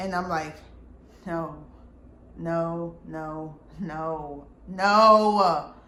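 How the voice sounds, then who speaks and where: Loud and very slow, a woman with a fairly low pitch and a bright, sharp tone speaks with long, frequent pauses amid audible room echo. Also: fairly even intonation. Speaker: vlogger telling personal story. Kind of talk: storytime monologue.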